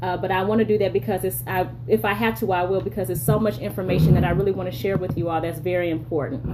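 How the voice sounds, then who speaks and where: Over noticeable background noise, a woman talks at a very fast pace. Her pitch is fairly low for a woman and swings very widely. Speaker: leadership strategist and live streamer. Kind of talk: live stream monologue. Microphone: bad cell signal.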